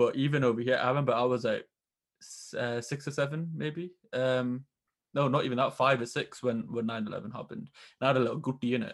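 Against a quiet background, a man with a British accent talks at a fairly quick pace with fairly even intonation. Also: medium pitch for a man. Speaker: podcast host. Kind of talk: casual interview chat. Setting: remote call.

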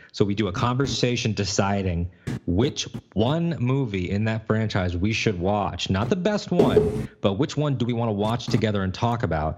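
A man speaks at a moderate pace in a fairly low pitch with lively intonation, with noticeable background noise behind him. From Connecticut, US, of Puerto Rican family. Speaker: podcast host. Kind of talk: casual chat. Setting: video call.

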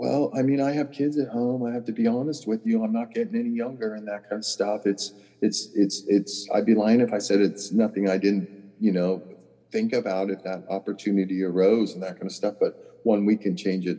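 His tone is dark and mellow, with fairly low pitch for a man. He speaks at a fairly quick pace with ordinary pitch variation. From Southern California. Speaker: golf caddie. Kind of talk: casual chat.

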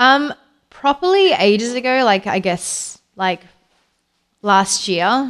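The woman's pitch is fairly high and swings very widely. She talks at a very slow pace, with long, frequent pauses. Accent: Australian. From Australia, Perth. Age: 40s. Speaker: interviewee. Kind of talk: casual chat.

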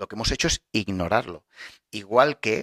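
The recording is dry and close with no echo as a man of medium pitch talks in an animated tone at a fairly slow pace. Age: 40s. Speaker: podcast host, wellness coach. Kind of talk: motivational talk. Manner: halting, many fillers and repetitions.

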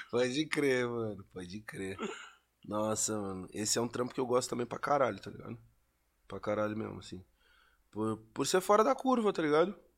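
On a very clean recording with a silent background, a man speaks at a fairly quick pace with a medium pitch and very wide pitch swings. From Pelotas, Rio Grande do Sul, southern Brazil. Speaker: rapper. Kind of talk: casual interview chat.

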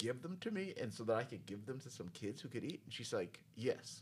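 With an American accent and vocal fry, a man talks at a fairly quick pace with lively intonation. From New York. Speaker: engineer. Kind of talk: casual chat. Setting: studio.

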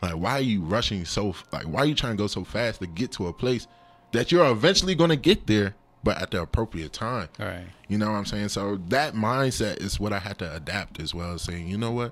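Speaking in an American accent, a man with an unremarkable speaking voice talks at a fairly quick pace, his fairly low pitch carried by lively intonation. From US, Nigerian parents. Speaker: drummer and counselor. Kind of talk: casual chat.

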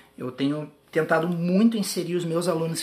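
Noticeable background noise runs behind a man whose pitch varies in an ordinary way. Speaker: podcast host, tap dancer and teacher. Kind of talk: casual interview. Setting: own apartment.

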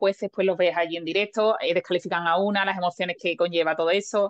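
In a dry, close sound with no echo, a woman speaks at a medium pitch and moderate pace with fairly even intonation. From Lepe, Huelva, Andalusia, Spain. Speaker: Olympic race walker. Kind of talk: interview. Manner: halting.

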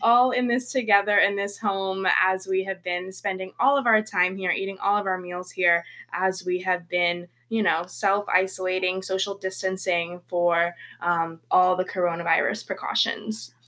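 A bright, sharp tone with an American accent, a moderate pace and fairly even intonation. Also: woman, medium pitch for a woman. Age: 20s. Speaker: podcast co-host. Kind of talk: casual chat. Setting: home bedroom.

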